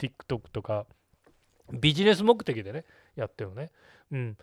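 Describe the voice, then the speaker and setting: Over a silent background in a very clean recording, a man's voice swings very widely in pitch, with a dry, close sound and no echo. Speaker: podcast host, video marketing consultant. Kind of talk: solo podcast talk. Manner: casual, many filler words.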